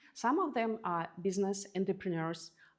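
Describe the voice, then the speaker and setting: A woman with a non-native accent speaks at a moderate pace with lively intonation. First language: not English. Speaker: podcast host. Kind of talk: interview answers, casual.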